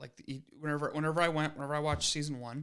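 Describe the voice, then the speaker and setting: A man speaks with a Wisconsin accent. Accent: Wisconsin Midwest. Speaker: podcast co-host. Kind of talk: casual chat.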